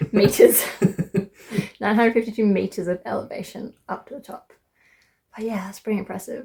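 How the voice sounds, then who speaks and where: Fairly quick speech in an Australian accent, somewhat breathy and dark, mellow in tone, with fairly even intonation and long, frequent pauses. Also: woman, fairly high pitch for a woman. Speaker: travel vlogger. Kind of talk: casual vlog narration. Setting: outdoors on a mountain trail.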